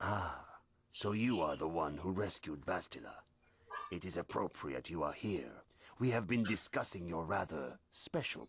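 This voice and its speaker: A man speaks in a put-on character voice with a very deep, low pitch. His intonation is lively and his pace moderate. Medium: video game. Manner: calm, formal.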